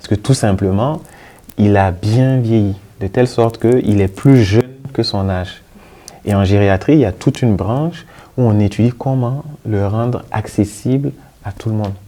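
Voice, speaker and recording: Pausing long and often, a man with fairly low pitch speaks at a moderate pace with ordinary pitch variation. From Burkina Faso. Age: young. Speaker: geriatric physician. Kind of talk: interview. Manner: halting, with fillers and repetitions.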